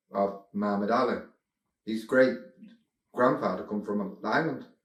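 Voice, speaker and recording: A man with a Mancunian accent speaks at a fairly low pitch and a moderate pace. His pitch varies in an ordinary way, with audible room echo. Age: 50s. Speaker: former club regular. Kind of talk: interview. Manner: halting.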